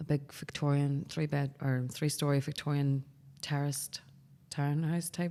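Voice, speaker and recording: With a Northern Irish accent, a woman speaks in a very deep, low pitch, her tone dark and mellow and her intonation flat and monotone. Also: moderate pace, very even loudness. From Northern Ireland, Belfast. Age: 30s. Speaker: barbershop owner. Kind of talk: casual chat.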